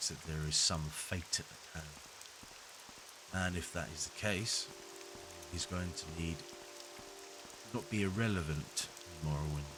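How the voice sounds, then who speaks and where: A man speaks at a moderate pace in a very deep, low voice with ordinary pitch variation and long, frequent pauses. Noticeable background noise and audible room echo fill the recording. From Britain. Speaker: gaming video creator. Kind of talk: let's play commentary. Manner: relaxed.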